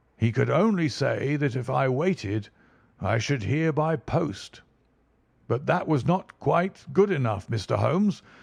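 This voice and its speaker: A raspy, put-on character voice from a fairly high-pitched man, fairly slow with very wide pitch swings, against a quiet background. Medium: read story. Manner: plain, earnest, aggrieved.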